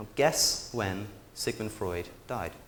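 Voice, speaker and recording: A man speaks with a British accent at a fairly low pitch. Noticeable background noise and audible room echo sit around his voice. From England, Oxford. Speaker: public speaker. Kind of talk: conference talk. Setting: stage with audience. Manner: many fillers and repetitions.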